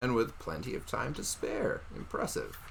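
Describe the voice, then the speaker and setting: Putting on a croaky, raspy character voice, a man talks at a moderate pace. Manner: welcoming, composed.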